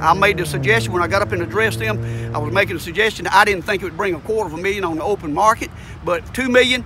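A high-pitched man with an American accent, very wide pitch swings and a very fast pace, dry with no echo, over noticeable background noise. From US South. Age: 70s. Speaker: citizen activist. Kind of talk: interview. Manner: halting. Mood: aggrieved, complaining. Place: street. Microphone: phone near.

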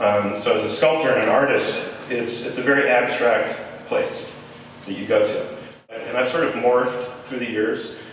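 A man is speaking. The recording has strong room echo and light background noise. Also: moderate pace. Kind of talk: informal talk to an audience. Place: hall.

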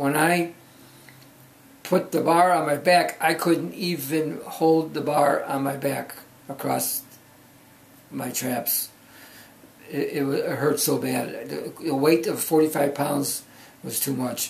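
A man at a very slow pace, with long, frequent pauses. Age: 70s. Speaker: powerlifter. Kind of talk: video log. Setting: home office. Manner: halting. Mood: earnest, recounting pain.

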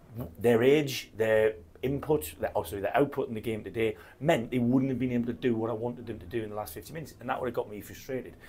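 A man speaks at a fairly quick pace. His medium-pitched voice has a slightly mellow tone.

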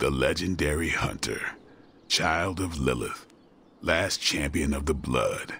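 Raspy and fairly slow, a put-on character voice carries the lines. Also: man. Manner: dry, wisecracking, tough.

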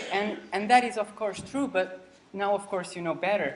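Light background noise sits behind a man speaking with lively intonation. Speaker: lecturer. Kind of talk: lecture. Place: hall. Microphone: camera far.

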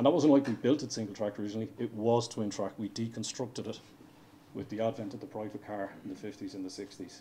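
With an Irish accent, a man talks at a very fast pace in a dark, mellow tone with ordinary pitch variation and light background noise. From Ireland. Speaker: railway engineering director. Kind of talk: conference presentation. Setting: stage with audience. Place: hall.

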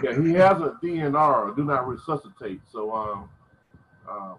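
A man's fairly slow voice with lively intonation over light background noise. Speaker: church member reporting to pastor. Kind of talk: conversation. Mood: somber, hesitant. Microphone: video call.

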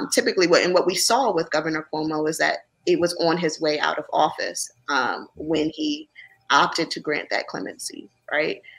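Speaking at a moderate pace, a woman talks with a Philadelphia accent. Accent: Philadelphia American English. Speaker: lawyer. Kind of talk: interview. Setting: video call. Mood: serious, measured advocacy. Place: home room.

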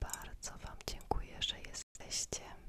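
A woman whispering at a very slow pace. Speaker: ASMR creator. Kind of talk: ASMR Q&A. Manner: whispered. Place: home room. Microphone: studio mic.

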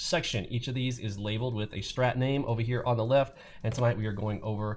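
A man talks very fast with fairly even intonation and a somewhat breathy voice over light background noise. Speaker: trading educator. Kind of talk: tutorial.

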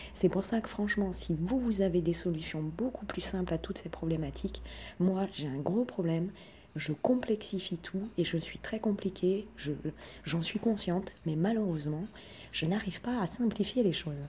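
The woman talks at a moderate speed, her medium-pitched voice showing ordinary pitch variation. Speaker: self-taught researcher and online video creator. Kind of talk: monologue, personal video talk. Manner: hesitant, many fillers; humble, earnest.

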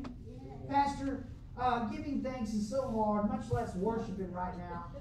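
A man speaks with lively intonation. The recording has audible room echo and light background noise. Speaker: pastor. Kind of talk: sermon, fervent preaching with call-and-response to the congregation. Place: church.

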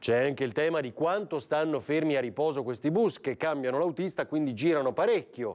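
Against a quiet background, a man with a plain, everyday voice and a fairly high pitch talks with hardly any pauses. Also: lively intonation, fairly quick pace. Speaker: TV talk show host. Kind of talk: live TV talk show. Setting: TV studio. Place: studio. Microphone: lapel.

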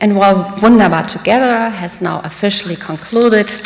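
A woman speaks at a moderate pace with ordinary pitch variation. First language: German. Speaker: diplomat. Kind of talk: speech. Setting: stage with audience. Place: hall. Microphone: podium.

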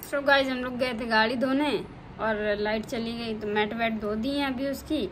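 Noticeable background noise sits behind a woman's voice. She speaks fairly slowly with fairly even intonation. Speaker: home vlogger. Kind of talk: casual vlog chat. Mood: playful teasing. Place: home room. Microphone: phone near.

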